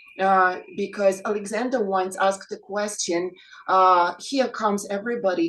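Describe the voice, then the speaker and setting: With a Russian accent, a woman speaks using ordinary pitch variation. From Ukraine. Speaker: English teacher, reading group member. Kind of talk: panel discussion.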